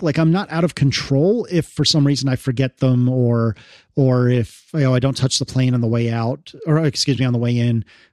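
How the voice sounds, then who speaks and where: Speaking at a moderate pace with an American accent, a man uses an ordinary speaking voice of medium pitch and ordinary pitch variation, recorded dry and close with no echo. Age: 30s. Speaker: podcaster and developer. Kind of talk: casual chat.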